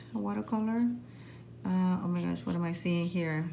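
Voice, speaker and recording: A woman's somewhat breathy, fairly low-pitched voice at a moderate pace, with audible room echo. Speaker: art teacher. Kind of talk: tutorial.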